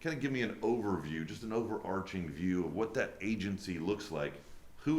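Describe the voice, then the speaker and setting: With a booming, fairly low voice, a man talks at a moderate pace with lively intonation, and audible room echo surrounds him. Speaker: podcast host. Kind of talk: interview.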